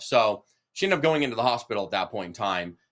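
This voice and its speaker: In an American accent, a man with a bright, sharp tone and medium pitch speaks at a fairly quick pace with ordinary pitch variation. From San Diego, California. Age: 40s. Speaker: real estate investing coach. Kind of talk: live online workshop Q&A. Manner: animated, casual.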